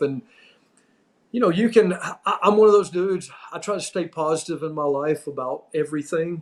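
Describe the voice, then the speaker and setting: A man speaks in an unremarkable speaking voice with an American accent. His pace is moderate and his pitch varies in an ordinary way. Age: 60s. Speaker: former pro wrestling referee. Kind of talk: casual chat.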